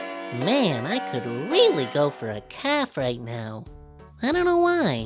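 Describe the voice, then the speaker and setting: A cartoonish character voice at a fairly slow pace, with clear music in the background. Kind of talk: children's puppet show dialogue.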